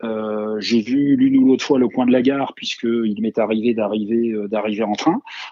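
Against noticeable background noise, a man speaks at medium pitch and a moderate pace with fairly even intonation and hardly any pauses. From Moselle, eastern France. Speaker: retired footballer and players' union leader. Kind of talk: interview. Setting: remote call. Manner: halting, many repetitions.

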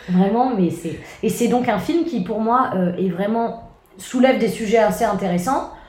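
A woman with a fairly high pitch, ordinary pitch variation and a fairly slow pace, amid audible room echo and noticeable background noise. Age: 20s. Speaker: comedian. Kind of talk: casual chat.

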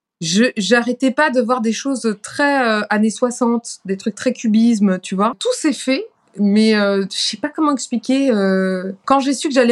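Pitch shifts in an ordinary way as the words come fairly slowly. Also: woman. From France, Paris. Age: 30s. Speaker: singer. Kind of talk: interview.

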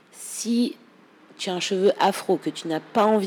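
A woman's voice at a medium pitch. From France. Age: 30s. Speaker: hairstylist. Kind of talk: casual interview. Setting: studio. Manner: animated.

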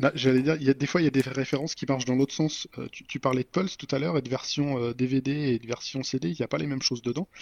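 A man speaks in an ordinary speaking voice. His pace is fairly quick. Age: 40s. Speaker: software developer and podcaster. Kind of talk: casual chat. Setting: evening recording.

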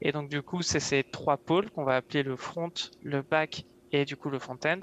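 Against a quiet background, a man with a fairly high voice speaks in a monotone, flat way, the sound dry and close with no echo. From France, Yvelines (west of Paris). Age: 20s. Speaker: web developer. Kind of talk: interview.

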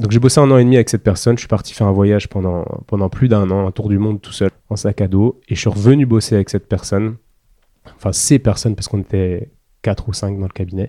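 This man talks at a very fast pace with a fairly low pitch and fairly even intonation. The recording is very clean, with a silent background and a dry, close sound with no echo. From rural France. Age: 30s. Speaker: osteopath. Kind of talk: interview. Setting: osteopathy practice room.

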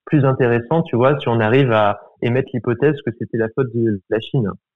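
An ordinary speaking voice from a man, medium pitch, fairly even intonation, fairly quick pace. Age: 20s. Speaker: student. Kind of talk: casual interview.

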